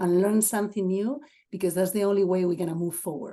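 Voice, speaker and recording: Speaking with a Spanish accent, a woman has a medium pitch and a dark, mellow tone. The background is quiet. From Spain, Asturias. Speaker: assistant principal. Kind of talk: webinar talk.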